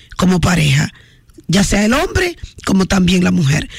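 A woman with a Dominican accent speaks at a fairly slow pace. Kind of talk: radio call-in show with prayer. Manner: animated.

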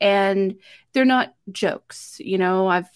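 A woman speaks at medium pitch in an unremarkable speaking voice, with lively intonation. The recording is very clean, with a silent background. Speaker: podcast host. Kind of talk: casual interview chat. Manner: warm, empathetic.

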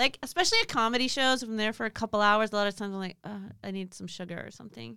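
With an American accent, a woman speaks at a very fast pace with hardly any pauses, a fairly high pitch and ordinary pitch variation. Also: big swings in loudness. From Southern California, Pasadena area. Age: 40s. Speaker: stand-up comedian. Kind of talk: casual chat.

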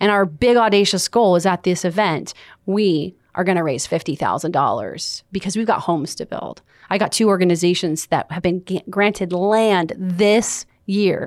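In an American accent, a woman with medium pitch speaks in an animated tone at a moderate pace on a very clean recording with a silent background. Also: ordinary pitch variation. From US West Coast (Los Angeles). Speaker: motivational speaker and success coach. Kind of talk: interview.

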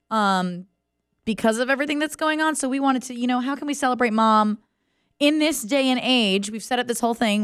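A woman's fairly high, upbeat and animated voice at a very fast pace, ordinary pitch variation, on a very clean recording with a silent background. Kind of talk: radio DJ patter. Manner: bright, upbeat, chatty morning-show energy; fast, animated, with rapid-fire repetition and promo reads.

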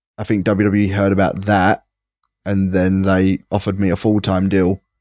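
A man speaks at a moderate pace in a fairly low, monotone, flat voice with very even loudness. The recording is very clean with a silent background and a dry, close sound with no echo. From England, Essex (Rainham). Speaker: professional wrestler. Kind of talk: casual interview.

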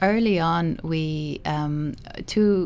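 This is a woman speaking with a Cork accent. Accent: Cork Irish. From Ireland, Midleton, County Cork. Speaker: animation film director. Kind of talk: interview. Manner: halting.

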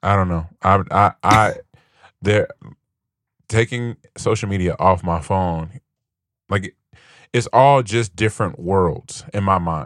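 A man with a fairly low pitch speaks very slowly, with long, frequent pauses and ordinary pitch variation, on a very clean recording with a silent background and a dry, close sound with no echo. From US Midwest, Gary, Indiana. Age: 30s. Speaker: podcast host. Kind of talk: casual chat.

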